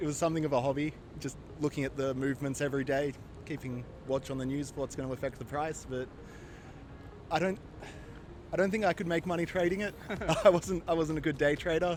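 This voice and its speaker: A man's fairly high voice with an Australian accent, very fast pace, long, frequent pauses and ordinary pitch variation. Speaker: tourist, former crypto trader. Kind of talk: street interview. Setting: outdoors on the street in Kuala Lumpur.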